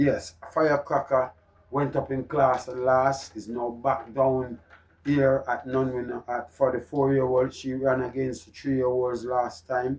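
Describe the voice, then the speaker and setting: A man talks with a Jamaican accent at a medium pitch. His pace is fairly slow. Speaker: horse racing tipster. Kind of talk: racing tips presentation. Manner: loud; animated.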